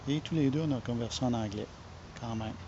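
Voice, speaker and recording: In a Quebec accent, a man speaks at a medium pitch with a somewhat breathy voice. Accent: Québécois French. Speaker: online marketer. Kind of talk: casual vlog talk. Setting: home. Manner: halting, with many fillers.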